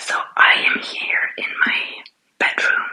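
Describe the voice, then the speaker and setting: A woman is whispering. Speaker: entrepreneur and aspiring life coach. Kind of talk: ASMR studio tour. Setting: at home in her studio/office room.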